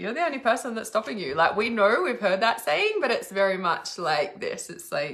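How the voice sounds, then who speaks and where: Bright and sharp in tone, a woman speaks at a very fast pace with an Australian accent. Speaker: psychic reader. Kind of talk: live stream psychic reading.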